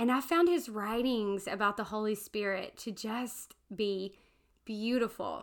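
Speaking in a Southern US accent at a fairly slow pace, a woman uses ordinary pitch variation, in a very clean recording with a silent background. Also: fairly high pitch for a woman. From US South, Alabama. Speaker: podcast co-host, seminary student. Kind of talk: casual chat.

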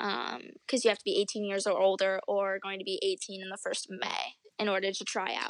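With an American accent and a medium pitch, a woman talks in fairly even intonation over a quiet background, an ordinary speaking voice. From upstate New York. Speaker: professional cheerleader. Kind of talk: interview.

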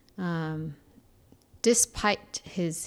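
A woman speaks with a Korean accent. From Seoul, South Korea. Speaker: churchgoer. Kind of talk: interview.

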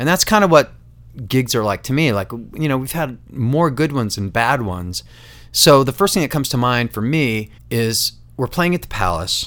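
An ordinary speaking voice from a man, medium in pitch with lively intonation, on a very clean recording against a silent background. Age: 50s. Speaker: podcast host and musician. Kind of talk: casual chat.

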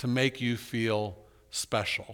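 A man speaks in a bright, sharp tone. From US South, Orlando, Florida. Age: 50s. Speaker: pastor. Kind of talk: sermon. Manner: conversational with fillers and repetitions.

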